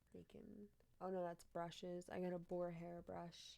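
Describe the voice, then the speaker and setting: Her voice is fairly low-pitched with a dark, mellow tone, and this woman speaks at a moderate pace. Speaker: streamer. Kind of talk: casual live-stream commentary reading news headlines. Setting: live stream at home. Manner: animated.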